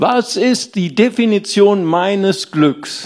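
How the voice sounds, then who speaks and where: The speaker is a man. His pitch is high. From Rhineland, Germany. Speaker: pastor. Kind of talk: sermon. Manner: animated.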